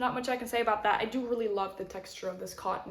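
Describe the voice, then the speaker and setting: A woman with a fairly high pitch and fairly even intonation, over noticeable background noise. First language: not English. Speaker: knitting podcaster. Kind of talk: casual chat. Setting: home kitchen.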